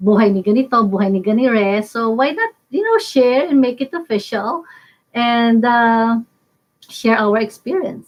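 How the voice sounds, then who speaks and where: This woman speaks with a Filipino accent at a fairly slow pace. Her pitch is fairly high, with ordinary variation. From Philippines. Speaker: lawyer. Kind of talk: legal discussion with co-host. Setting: live stream. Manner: code-switching English and Filipino.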